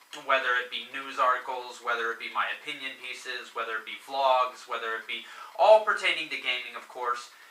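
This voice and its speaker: A man speaks at a fairly quick pace and medium pitch with ordinary pitch variation and big swings in loudness, over noticeable background noise. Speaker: gaming video reviewer. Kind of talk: video game review intro. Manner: hesitant, many fillers.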